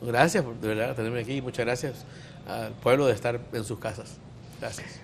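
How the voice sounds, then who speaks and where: This is an unremarkable speaking voice, a man at medium pitch. He talks at a fairly quick pace. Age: 50s. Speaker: physician. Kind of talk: talk show discussion.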